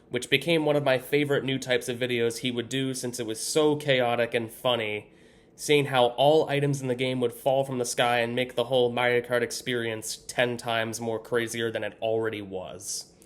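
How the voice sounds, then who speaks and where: A man with an ordinary speaking voice talks at medium pitch. His pace is moderate and his intonation fairly even. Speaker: YouTube content creator. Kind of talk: scripted personal story read to camera.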